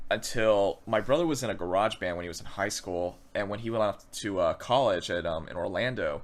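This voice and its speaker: On a very clean recording with a silent background, a man with an American accent speaks at a fairly low pitch with ordinary pitch variation. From Florida and North Carolina. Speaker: drummer. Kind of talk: casual interview. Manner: fast.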